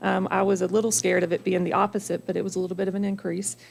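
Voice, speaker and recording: A woman speaks at a medium pitch. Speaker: drug court program coordinator. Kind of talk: presentation to county board. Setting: public board meeting. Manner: fast.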